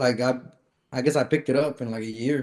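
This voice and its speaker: The man's voice is medium in pitch, moves at a moderate speed, and rises and falls in an ordinary way. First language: Spanish. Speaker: podcast guest, taco business owner. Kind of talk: casual chat.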